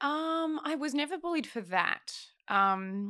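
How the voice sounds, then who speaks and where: A bright, sharp tone with an Australian accent and very wide pitch swings, dry and close with no echo, on a very clean recording with a silent background. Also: woman. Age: 20s. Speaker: film development executive. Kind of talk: casual chat.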